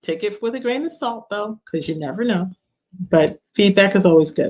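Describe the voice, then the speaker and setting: Her intonation is lively. This woman speaks with a New York accent. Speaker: business coach. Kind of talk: online workshop talk. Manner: casual with filler words.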